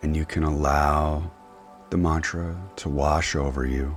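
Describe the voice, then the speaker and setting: With music in the background, a man with a very deep, low pitch talks at a fairly slow pace in a monotone, flat intonation. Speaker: meditation guide. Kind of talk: guided meditation. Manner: slow, soft-spoken.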